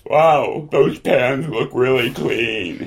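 A man uses a raspy, put-on character voice. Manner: earnest, flustered.

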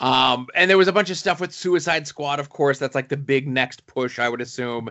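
This is a man's voice. He talks at a moderate pace. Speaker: podcast host. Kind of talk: casual banter, comic book news. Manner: loud, talkative.

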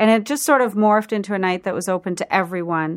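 A woman speaks in an ordinary speaking voice at a medium pitch and a fairly quick pace. Her intonation is fairly even, and the recording is very clean with a silent background. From Prince Edward Island, Canada. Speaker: food writer and event host. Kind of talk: radio interview. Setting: radio studio.

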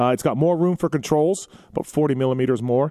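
At a fairly quick pace, a man talks in a normal speaking voice. His pitch shows ordinary variation. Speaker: motocross podcast host. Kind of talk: live call-in show. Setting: studio.

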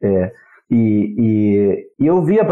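A man with a medium pitch and a Spanish accent. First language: Spanish (speaking Portuguese). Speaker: university professor of international relations. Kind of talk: interview. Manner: halting, many repetitions.

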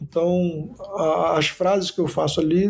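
A man with a high pitch talks with fairly even intonation. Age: 40s. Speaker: pastor and psychologist, sex therapist. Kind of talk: interview.

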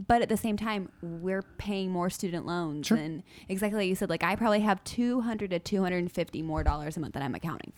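Talking at a very fast pace with hardly any pauses, a woman keeps a medium pitch with ordinary pitch variation. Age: 20s. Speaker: podcast producer. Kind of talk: casual chat. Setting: studio.

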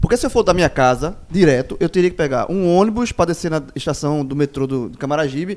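A man's fairly high voice, very fast in pace, with lively intonation. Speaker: football pundit. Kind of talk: casual debate.

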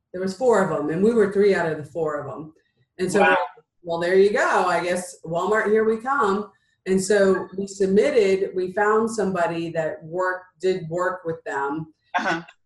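A woman with an unremarkable speaking voice and medium pitch talks at a moderate pace with ordinary pitch variation. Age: 50s. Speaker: entrepreneur and business coach. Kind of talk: interview.

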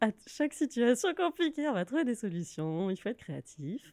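At a moderate pace, a woman speaks in a dark, mellow tone with lively intonation, the sound dry and close with no echo. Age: 30s. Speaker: freelance workshop facilitator. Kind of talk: interview.

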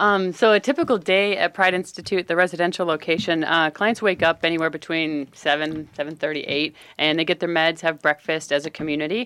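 Using a plain, everyday voice, a woman with fairly low pitch and ordinary pitch variation speaks at a fairly quick pace with hardly any pauses, on a very clean recording with a silent background. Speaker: community relations director at addiction treatment center. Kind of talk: radio interview.

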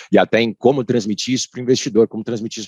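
A man's voice in a dry, close sound with no echo. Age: 30s. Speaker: lawyer in finance. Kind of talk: casual chat. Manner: halting.

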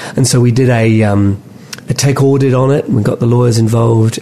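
Noticeable background noise behind a man talking at a fairly quick pace. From London, England (moved to Auckland at 14-15). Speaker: tech company executive. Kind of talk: interview.

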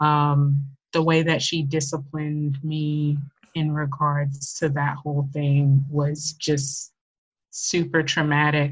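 The voice is somewhat breathy and moves at a very slow pace. Its intonation stays monotone and flat. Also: woman, very deep, low pitch for a woman. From US South, Memphis, Tennessee. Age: 30s. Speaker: stay-at-home wife sharing abuse survival story. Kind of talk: personal testimony in interview.

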